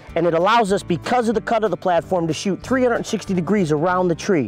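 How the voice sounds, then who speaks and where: A man speaks in a dry voice with no echo, with faint music in the background. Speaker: hunting show host. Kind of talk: tutorial. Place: forest.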